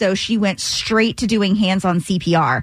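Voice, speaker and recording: At a moderate pace, a woman speaks in a plain, everyday voice with a medium pitch and fairly even intonation. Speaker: radio news and traffic co-host. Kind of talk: radio DJ patter, chatty news segment. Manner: bright, conversational, friendly.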